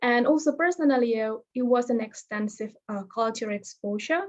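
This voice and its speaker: This woman talks at a moderate pace in a fairly high pitch, with a non-native accent and ordinary pitch variation. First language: not English. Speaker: fellowship alumnus, veterinary professional. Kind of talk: webinar presentation. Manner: halting.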